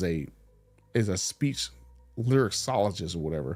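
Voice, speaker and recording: There is music in the background as a man talks with an American accent. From US South. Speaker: channel host talking about car dealerships. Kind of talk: casual late-night monologue. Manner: slurs words, trouble with S sounds.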